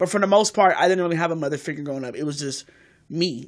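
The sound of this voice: A woman speaks at a fast pace with a low pitch and ordinary pitch variation, on a very clean recording with a silent background.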